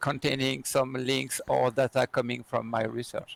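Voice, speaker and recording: A man with a French accent. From France. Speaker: security researcher and trainer. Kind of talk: interview. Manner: halting with many fillers.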